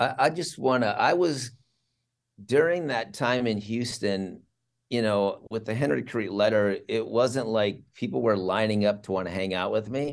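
A man with an ordinary speaking voice, medium pitch, ordinary pitch variation and moderate pace. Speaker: campus ministry leader. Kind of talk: casual interview chat.

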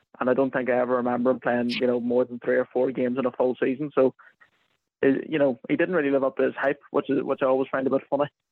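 Very fast speech comes in a Northern Irish accent with flat, monotone intonation. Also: man, medium pitch for a man. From Northern Ireland, County Armagh. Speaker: NFL content writer. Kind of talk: casual chat. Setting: phone call.

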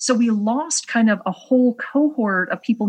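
Somewhat breathy, a woman speaks at a moderate pace with lively intonation over a quiet background. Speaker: economist. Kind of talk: interview.

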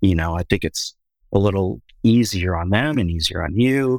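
With an American accent, a man speaks at a moderate pace in a very deep, low voice with lively intonation, recorded very cleanly with a silent background and a dry, close sound with no echo. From Minneapolis, US Midwest. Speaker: film director. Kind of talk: casual chat. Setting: studio.

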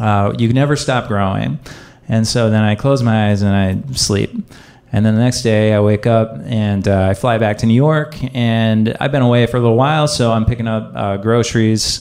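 A plain, everyday voice speaks at a moderate pace. Its loudness stays very even, with ordinary pitch variation. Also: man, medium pitch for a man. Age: 30s. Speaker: storyteller. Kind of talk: personal storytelling.

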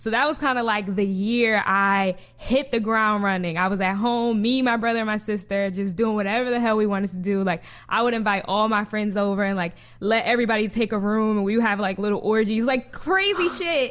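In an American accent, a woman speaks at a fairly quick pace and a fairly high pitch with ordinary pitch variation and very even loudness. It's an ordinary speaking voice, on a very clean recording with a silent background. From New Jersey. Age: 20s. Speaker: sex-positive digital content creator. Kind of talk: casual interview chat.

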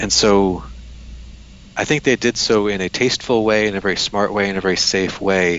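A man with an American accent talks at a fairly quick pace in an unremarkable speaking voice, his pitch fairly low. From United States. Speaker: history professor. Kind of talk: interview. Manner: frequent fillers and repetitions.

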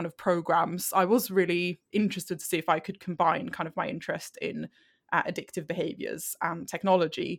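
Speaking in a Swedish accent, a woman talks at a fairly low pitch and a moderate pace with ordinary pitch variation. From Sweden. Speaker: health psychology researcher. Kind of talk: interview. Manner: halting.

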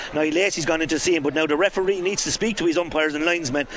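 Against noticeable background noise, a man with a high pitch talks at a very fast pace, his tone animated and excited and his pitch variation ordinary. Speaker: radio co-commentator and analyst. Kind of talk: live sports commentary. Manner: animated, excited, rapid-fire, reacting to on-field incidents.

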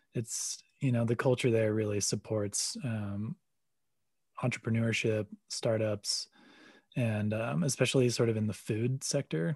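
A man speaks fairly slowly at a medium pitch, somewhat breathy, with ordinary pitch variation. The sound is dry and close with no echo, over a quiet background. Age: 30s. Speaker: coffee company CEO and pro snowboarder. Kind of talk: interview. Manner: hesitant, many fillers.

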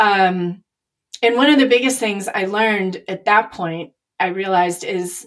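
A woman with an American accent speaks in a normal speaking voice at a medium pitch. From Chicago. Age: 50s. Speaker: artist and business owner. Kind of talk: casual chat.

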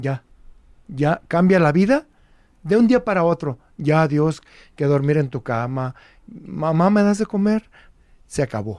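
Very wide pitch swings broken by long, frequent pauses. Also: man, fairly high pitch for a man, very clean recording, silent background. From Jalisco, Mexico (Guadalajara). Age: 70s. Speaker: former guerrilla, law professor. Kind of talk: interview testimony.

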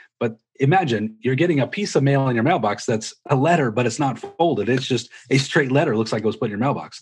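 Very fast pace, somewhat breathy delivery and ordinary pitch variation. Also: man, medium pitch for a man. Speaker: real estate broker and coach. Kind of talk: interview, explaining tactics conversationally.

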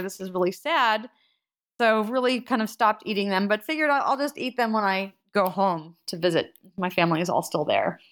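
A woman's normal speaking voice with an American accent, lively intonation, and a moderate pace, on a very clean recording with a silent background. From US Northeast, central New Jersey. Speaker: bagel shop owner, former engineer. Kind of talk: casual interview.

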